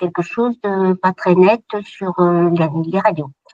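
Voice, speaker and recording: A woman's voice sits at a fairly low pitch with a dark, mellow tone. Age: 70s. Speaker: breast cancer survivor. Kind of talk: testimony. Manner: halting.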